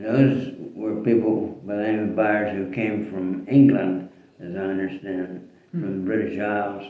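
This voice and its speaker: A man with a Western Pennsylvania accent speaks at a fairly slow pace in a fairly low voice with fairly even intonation, against noticeable background noise. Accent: Western Pennsylvania American English. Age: 80s+. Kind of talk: casual family storytelling.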